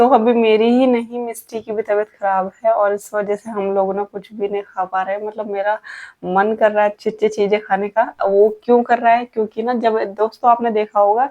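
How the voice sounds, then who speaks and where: A woman talks in a fairly high voice at a moderate pace. Her intonation stays monotone and flat. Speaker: family vlogger, housewife. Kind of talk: casual vlog talk to camera.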